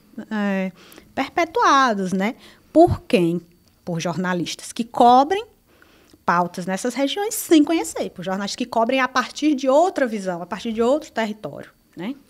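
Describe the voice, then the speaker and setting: On a very clean recording with a silent background, a woman speaks at a fairly slow pace in a fairly high voice that swings very widely in pitch. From Brazil, Ceará (Cariri region). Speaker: journalist. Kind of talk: interview. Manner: halting.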